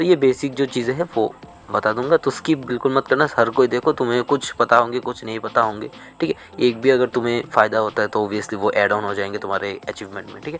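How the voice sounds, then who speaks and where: The man's voice sits at a medium pitch with ordinary pitch variation, moving at a moderate pace with big swings in loudness. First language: not Hindi (speaking Hindi). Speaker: gaming clan leader. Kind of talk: tutorial.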